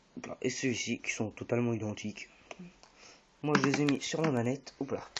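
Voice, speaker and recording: Noticeable background noise accompanies speech that moves at a fairly quick pace. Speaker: gaming YouTuber. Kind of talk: tutorial. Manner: hesitant, many fillers.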